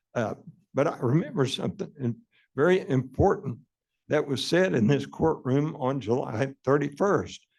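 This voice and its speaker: Here a man talks with lively intonation. Vocal fry runs through his voice. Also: moderate pace. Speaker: utility commissioner. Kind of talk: public meeting debate. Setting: meeting hall with public. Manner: halting, many fillers.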